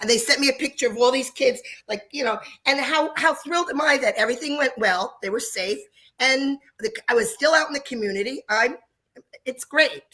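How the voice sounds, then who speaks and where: Projecting her raised voice, a woman with high pitch and a bright, sharp tone moves at a fairly quick pace with ordinary pitch variation. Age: 60s. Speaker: dance studio owner. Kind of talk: live panel talk.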